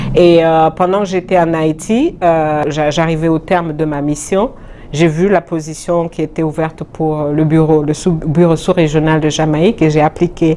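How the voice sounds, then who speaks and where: A woman speaks with a very deep, low pitch at a fairly slow pace. Her intonation is monotone and flat, with noticeable background noise behind her. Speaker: UN agency deputy director. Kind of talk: interview. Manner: hesitant, many fillers.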